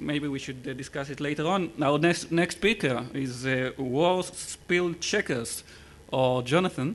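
Speaking in a normal speaking voice, a man keeps a moderate pace and a fairly high pitch with ordinary pitch variation. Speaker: session moderator. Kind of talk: event moderating. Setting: stage with audience. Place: hall. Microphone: podium.

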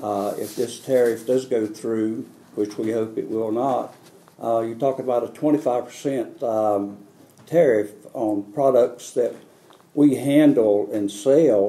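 Speaking with a North Carolina accent, the voice moves at a very slow pace with fairly even intonation. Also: man. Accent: US Southern, North Carolina. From North Carolina, Harnett County. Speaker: farmer. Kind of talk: press conference statement. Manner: halting, many fillers. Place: hall.

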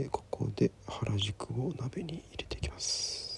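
A man whispering with vocal fry, dry sound with no echo, and light background noise. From Sapporo, Japan. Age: 20s. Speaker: singer-songwriter. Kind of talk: cooking narration. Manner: whispered. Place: kitchen. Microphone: phone near.

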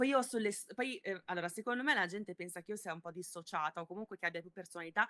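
Very fast and with lively intonation, a woman talks in a bright, sharp tone. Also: big swings in loudness. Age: 20s. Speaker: body-positivity content creator. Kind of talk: casual interview. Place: home room.

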